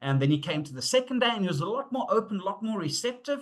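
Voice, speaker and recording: Talking at a very fast pace, a man lets his pitch swing very widely. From South Africa. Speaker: safety and leadership consultant. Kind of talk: webinar presentation. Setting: online webinar. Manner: conversational with fillers and hesitations.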